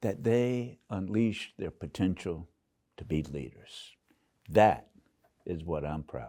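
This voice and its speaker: In a very clean recording with a silent background, a man with a very deep, low, dark and mellow voice and vocal fry speaks very slowly, with long, frequent pauses and big swings in loudness. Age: 80s+. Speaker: university president. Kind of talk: interview.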